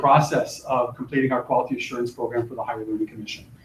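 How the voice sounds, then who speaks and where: With noticeable background noise behind him, a man talks at a very fast pace. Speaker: college faculty presenter. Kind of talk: workshop presentation. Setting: classroom, live streamed.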